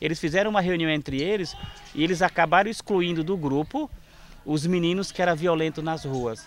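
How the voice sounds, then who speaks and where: This man has a high pitch and talks at a fairly quick pace. His pitch varies in an ordinary way. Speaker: NGO founder. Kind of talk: documentary interview.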